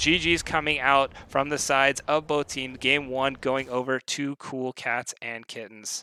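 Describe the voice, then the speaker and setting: In a very clean recording with a silent background and a dry, close sound with no echo, a man speaks at medium pitch with a bright, sharp tone. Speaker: esports caster. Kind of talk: live commentary. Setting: live stream. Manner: fast; animated.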